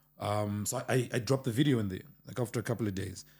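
A man's medium-pitched voice with a dark, mellow tone, at a fairly quick pace, in a very clean recording over a silent background. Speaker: producer or music manager. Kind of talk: casual chat.

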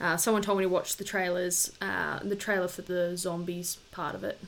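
Speaking at a fairly quick pace, a woman with a fairly low pitch keeps her intonation fairly even, with vocal fry. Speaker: podcast co-host. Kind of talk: casual chat.

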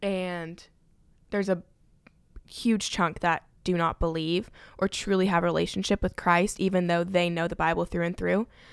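A woman's fairly low voice, monotone and flat, at a moderate pace with long, frequent pauses, on a very clean recording with a silent background. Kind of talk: casual chat.

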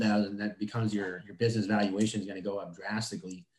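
A man talks at a very fast pace with fairly even intonation. His pitch is fairly low. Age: 30s. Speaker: HVAC business owner. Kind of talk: casual interview.

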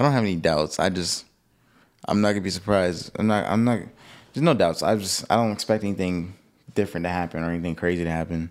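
A man speaks with a very deep, low pitch and ordinary pitch variation. He goes at a very fast pace on a very clean recording with a silent background. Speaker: podcast co-host. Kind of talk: casual chat. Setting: studio.

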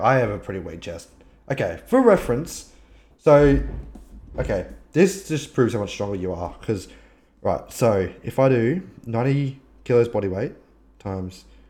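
With an Australian accent, a man with a dark, mellow tone and medium pitch makes very wide pitch swings and big swings in loudness, leaving long, frequent pauses. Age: 20s. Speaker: podcast host and streamer. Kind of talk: casual chat. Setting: live stream video call.

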